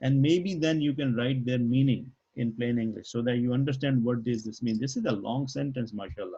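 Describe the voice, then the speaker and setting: The voice has a dark, mellow tone and sounds somewhat breathy. It shows ordinary pitch variation and hardly any pauses. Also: man, medium pitch for a man. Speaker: Arabic language teacher. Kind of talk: online class lesson. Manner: halting, stutters on Arabic words.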